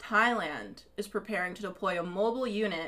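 Speaking at a fairly slow pace, a woman uses an animated tone, medium pitch and ordinary pitch variation. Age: 20s. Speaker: podcast host. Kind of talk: casual chat.

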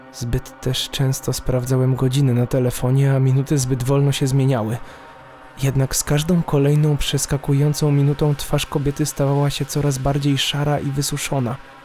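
Against noticeable background noise, a man with a fairly high pitch talks in a monotone, flat intonation at very even loudness. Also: moderate pace. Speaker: horror story narrator. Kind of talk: ghost story narration, first-person creepy tale read aloud. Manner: halting, suspenseful pauses before the scary reveals.

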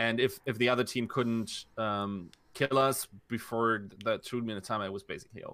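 A man speaks in a German accent with a bright, sharp tone. His intonation stays fairly even. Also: medium pitch for a man, moderate pace. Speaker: esports content creator. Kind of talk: casual chat.

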